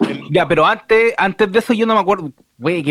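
Lively intonation in a Chilean accent, on a very clean recording with a silent background. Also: man, dry, close sound with no echo. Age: 30s. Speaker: film podcast panelist. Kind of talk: casual chat.

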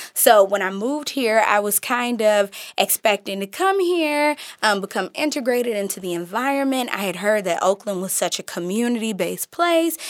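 Over a very clean recording with a silent background, a woman with an American accent speaks at a moderate pace in a fairly high pitch, with lively intonation. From Midwest US, Detroit, Michigan. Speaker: personal development coach. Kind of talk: casual chat. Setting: studio. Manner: animated.

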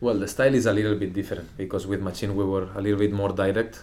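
In a room with audible echo, a man speaks at a fairly low pitch in a dark, mellow tone with monotone, flat intonation. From Catalonia, Spain (Lloret de Mar). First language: Spanish/Catalan. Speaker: professional footballer. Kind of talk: interview. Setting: club house. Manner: halting, repeats words.

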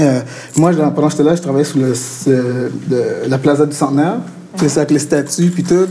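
Against noticeable background noise, a man with a fairly high pitch speaks at a moderate pace and with fairly even intonation. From Montreal, Quebec. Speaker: art director and illustrator. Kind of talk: interview at a live talk. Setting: venue with live audience. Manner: casual, code-switching with English.

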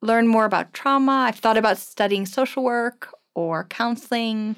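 A woman uses a normal speaking voice, moving at a moderate pace and varying her pitch in an ordinary way. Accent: American. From US East Coast (New York and Washington DC areas), German-born. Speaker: missionary and children's home volunteer. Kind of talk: interview conversation.

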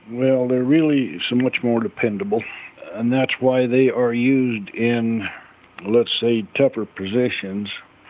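Noticeable background noise sits behind a man who speaks at a fairly slow pace with a medium pitch, ordinary pitch variation and very even loudness. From central Utah. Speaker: farrier. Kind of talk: interview.

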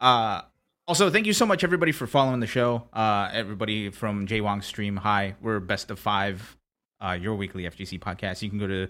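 A man's unremarkable speaking voice, with lively intonation at a moderate pace. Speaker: podcast host. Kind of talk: casual chat.

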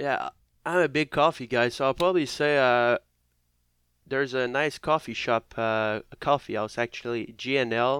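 Over a very clean recording with a silent background, a man of medium pitch speaks in a Quebec accent at a moderate pace with ordinary pitch variation. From Quebec, near Montreal. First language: French. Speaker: professional hockey player. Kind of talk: casual interview chat. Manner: halting, many fillers.

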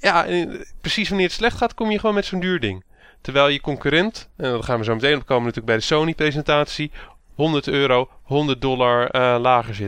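In an ordinary speaking voice, a man talks at a fairly quick pace with a fairly high pitch and lively intonation against a quiet background. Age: 30s. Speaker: podcast host. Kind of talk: casual chat.

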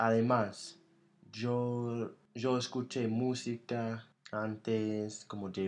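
A very slow pace with monotone, flat intonation. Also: man. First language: English (speaking Spanish). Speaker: podcast host. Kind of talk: casual chat.

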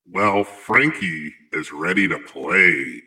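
A man is talking. He uses a put-on character voice. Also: fairly low pitch for a man, very slow pace. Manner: menacing.

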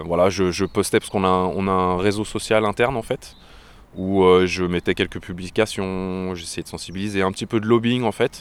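This man's pitch is very deep and low. He talks at a fairly slow pace. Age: 40s. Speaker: tech support worker, eco activist. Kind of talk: interview. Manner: halting, many hesitations.

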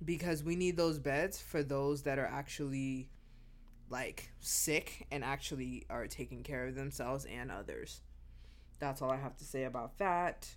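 There's audible room echo as a woman talks at a moderate pace. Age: 30s. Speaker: podcast host and flight attendant. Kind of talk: casual solo monologue. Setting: at home.

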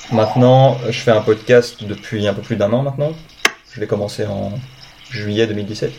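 Over noticeable background noise, a man with a fairly low voice talks at a moderate pace with fairly even intonation and long, frequent pauses. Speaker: podcast host. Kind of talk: interview. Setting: video call.

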